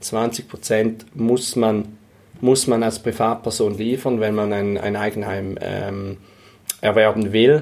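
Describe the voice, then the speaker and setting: Intonation stays fairly even while the delivery runs very slowly. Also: man, fairly low pitch for a man. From St. Gallen, eastern Switzerland. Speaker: real estate investor and fiduciary advisor. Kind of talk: interview. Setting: in person in St. Gallen. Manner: halting, many fillers and repetitions.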